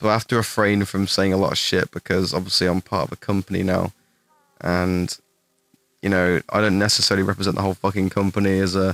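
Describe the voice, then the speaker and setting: Speech comes at a very fast pace in an English accent, with monotone, flat intonation and very even loudness. The sound is dry and close, with no echo. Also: man, very deep, low pitch for a man. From England. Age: 20s. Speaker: gaming streamer. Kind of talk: live stream Q&A. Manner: casual, halting with fillers.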